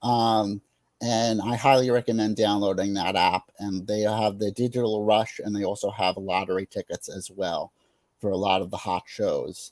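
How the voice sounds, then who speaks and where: Flat, monotone delivery at a moderate pace, in a dry, close sound without echo. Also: man, fairly low pitch for a man. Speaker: theater enthusiast and webinar presenter. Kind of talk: webinar presentation. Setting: online webinar. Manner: hesitant, many fillers.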